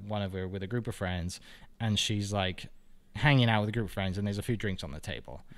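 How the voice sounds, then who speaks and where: Talking at a very fast pace, a man with a Welsh accent uses ordinary pitch variation. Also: fairly low pitch for a man. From Wales, Bridgend. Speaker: realtor and podcaster. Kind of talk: casual interview chat.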